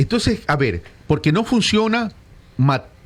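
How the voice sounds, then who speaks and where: This man sounds animated and somewhat breathy, with very wide pitch swings. He keeps a fairly slow pace. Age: 60s. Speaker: political consultant. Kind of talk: radio interview.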